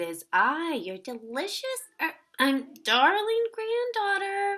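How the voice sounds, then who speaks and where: In a put-on character voice, a woman speaks at an extremely high pitch. Her pace is fairly slow. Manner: sweetly deceptive, slipping up.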